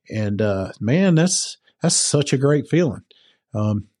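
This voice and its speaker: Against a quiet background, a voice with a dark, mellow tone speaks with a Southern US accent. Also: man. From US South (Georgia). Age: 50s. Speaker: firefighter. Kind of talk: casual interview.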